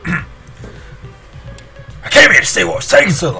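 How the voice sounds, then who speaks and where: A man doing a put-on character voice over clear music in the background. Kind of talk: reading game dialogue in character voice. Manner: pirate-style voice.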